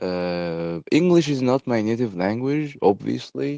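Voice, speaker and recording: A man with an Arabic accent at a fairly slow pace, very wide pitch swings, dry and close with no echo against a quiet background. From Egypt. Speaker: podcaster. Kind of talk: casual monologue. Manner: hesitant, many fillers.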